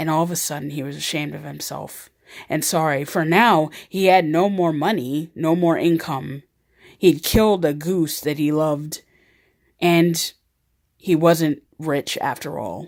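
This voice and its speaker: A woman's raspy put-on character voice, very deep and low in pitch, at a moderate pace with fairly even intonation and big swings in loudness. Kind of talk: fable storytelling. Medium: read story. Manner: casual, earnest.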